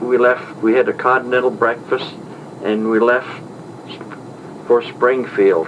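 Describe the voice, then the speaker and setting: Fairly slow, very evenly loud speech with an Upper Midwest US accent, long and frequent pauses, and noticeable background noise. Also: man, medium pitch for a man. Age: 60s. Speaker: traveler recounting a trip. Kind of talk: spoken diary report. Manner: halting.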